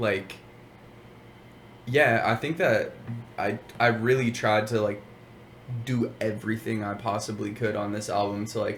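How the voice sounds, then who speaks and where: A fairly low-pitched man's voice with fairly even intonation and long, frequent pauses, music in the background. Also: fairly slow pace. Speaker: rapper. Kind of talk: interview.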